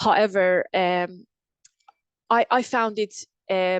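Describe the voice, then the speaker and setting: A woman's voice with fairly even intonation, a quiet background, and a dry, close sound with no echo. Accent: Persian. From Iran. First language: Persian. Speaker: engineer. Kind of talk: interview. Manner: halting, frequent repetitions.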